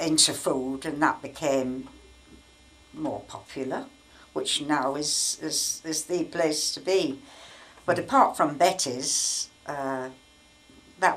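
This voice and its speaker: A woman speaks very slowly in a Yorkshire accent, her pitch very deep and low. Background noise is noticeable. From York, England. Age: 80s+. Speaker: wartime memories storyteller. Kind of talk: interview answer.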